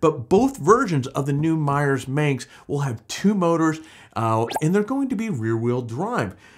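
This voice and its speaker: Against a quiet background, a man speaks at a fairly high pitch. His voice makes very wide pitch swings. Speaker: off-road vehicle news host. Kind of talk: casual news roundup. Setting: recorded on camera. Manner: animated. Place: studio.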